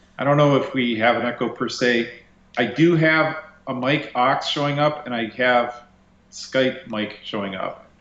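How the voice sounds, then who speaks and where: A man's medium-pitched, fairly slow speech with fairly even intonation, noticeable background noise and audible room echo. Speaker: DJ and bus restorer. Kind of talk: casual chat. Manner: loud, projecting. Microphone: echo reported.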